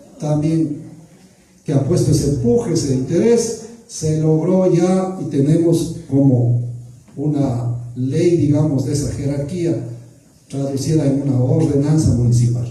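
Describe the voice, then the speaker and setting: Amid audible room echo, a man speaks at a fairly slow pace, his fairly high pitch showing ordinary variation. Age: 60s. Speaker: public official. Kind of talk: public accountability Q&A.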